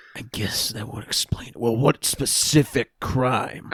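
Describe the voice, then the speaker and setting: Speaking in a raspy, put-on character voice at medium pitch, a man goes at a fairly slow pace, the sound dry and close with no echo. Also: big swings in loudness. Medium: actual play.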